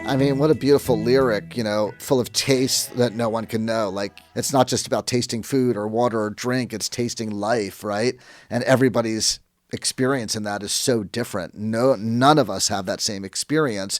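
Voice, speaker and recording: A man with a normal speaking voice, a medium pitch and fairly even intonation, in a very clean recording with a silent background. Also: moderate pace. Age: 60s. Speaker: rock photographer. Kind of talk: interview.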